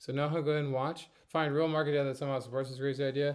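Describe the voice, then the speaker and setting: A male speaker, with a quiet background behind him. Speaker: university instructor. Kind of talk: tutorial. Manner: fast. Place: home room. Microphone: webcam.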